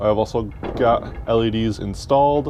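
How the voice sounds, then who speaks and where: A man at a fairly slow pace, with noticeable background noise behind him. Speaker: maker, workshop vlogger. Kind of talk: casual talk to camera. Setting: basement workshop, lapel mic. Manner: relaxed, hesitant.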